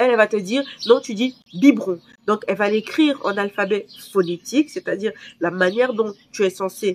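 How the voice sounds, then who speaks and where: Here a woman speaks at a moderate pace. Her voice is medium in pitch, with ordinary variation. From Cameroon. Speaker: vlogger. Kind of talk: personal vlog. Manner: hesitant, many fillers.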